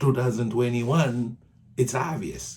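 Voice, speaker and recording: Somewhat breathy, this man's voice shows ordinary pitch variation. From Haiti. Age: 60s. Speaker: political commentator. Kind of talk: video monologue. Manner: animated.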